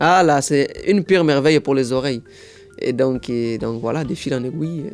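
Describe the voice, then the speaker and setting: Music plays behind a man's voice. His pitch is fairly high, with ordinary variation. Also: moderate pace. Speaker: impressionist and sapologist. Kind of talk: interview answer.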